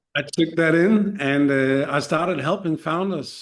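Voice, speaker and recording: A man speaks with a Danish accent at a moderate pace. His pitch varies in an ordinary way. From Denmark. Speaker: startup mentor and serial founder. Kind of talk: podcast interview. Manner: halting, many fillers and repeated starts.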